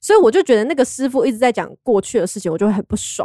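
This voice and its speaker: Her voice fairly high, a woman races along at a very fast pace with very wide pitch swings in a dry, close sound with no echo. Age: 20s. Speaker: fortune-telling enthusiast. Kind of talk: casual chat.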